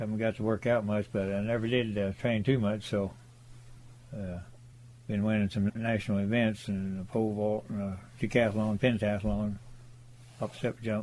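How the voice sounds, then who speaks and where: Fairly low-pitched male speech in an American accent, monotone and flat, broken by long, frequent pauses. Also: moderate pace. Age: 80s+. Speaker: well driller. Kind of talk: interview reminiscence. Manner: halting, frequent fillers.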